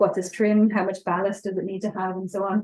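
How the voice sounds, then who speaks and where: With an Irish accent, a woman speaks at a fairly quick pace. Her tone is dark and mellow. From Ireland. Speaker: experimental archaeologist presenting a ship reconstruction project. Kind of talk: conference presentation with Q&A. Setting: presentation to an audience at an open-air museum event.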